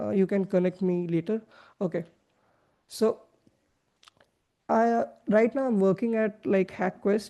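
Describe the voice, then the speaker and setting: Her tone dark and mellow, a woman speaks at medium pitch and a moderate pace with fairly even intonation. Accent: non-native. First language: not English. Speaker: web3 developer relations lead, workshop presenter. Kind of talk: online workshop presentation. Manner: hesitant, many fillers.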